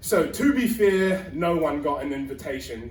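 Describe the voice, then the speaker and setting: A man with a New Zealand accent and a high pitch, with audible room echo and noticeable background noise. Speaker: stand-up comedian. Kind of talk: stand-up. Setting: stage with audience.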